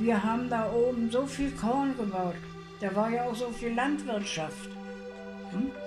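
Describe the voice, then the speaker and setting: With music in the background, a woman speaks in a fairly high voice with ordinary pitch variation, at a fairly slow pace broken by long, frequent pauses. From East Prussia. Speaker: war refugee, eyewitness. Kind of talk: interview answer.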